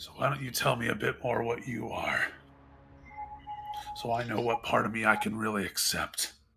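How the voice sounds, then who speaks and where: Over faint music in the background, a man uses a raspy put-on character voice at a medium pitch and a moderate pace, with long, frequent pauses. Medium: actual play. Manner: tense, gritted-teeth intensity.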